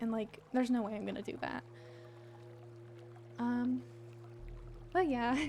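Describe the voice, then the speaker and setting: Soft-spoken and at a moderate pace, a woman talks with long, frequent pauses while music plays in the background. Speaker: VTuber streamer. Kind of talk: casual chat. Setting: livestream. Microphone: mic too quiet.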